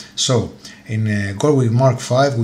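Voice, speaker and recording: A man speaks with fairly even intonation while noticeable background noise runs underneath. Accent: Greek. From Greece. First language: Greek. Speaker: motorcycle YouTuber. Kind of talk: tutorial. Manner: halting, many fillers.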